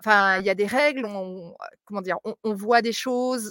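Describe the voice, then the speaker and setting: Fairly slow speech from a woman at medium pitch, ordinary pitch variation, in a dry, close sound with no echo. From France (Mont-de-Marsan area), partly raised in Africa. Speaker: English and maths teacher. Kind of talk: live interview. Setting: outdoors, live video stream. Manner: talkative.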